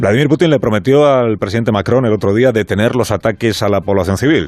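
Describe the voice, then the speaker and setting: Music plays in the background as a man speaks at a very fast pace. His medium-pitched voice has lively intonation. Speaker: radio host. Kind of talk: radio monologue commentary.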